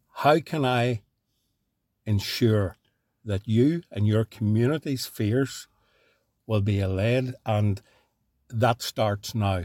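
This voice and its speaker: A man with a Northern Irish accent talks at a very slow pace, with long, frequent pauses, a medium pitch and ordinary pitch variation. The sound is dry and close with no echo, on a very clean recording with a silent background. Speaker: podcast host. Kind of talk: podcast interview. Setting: studio.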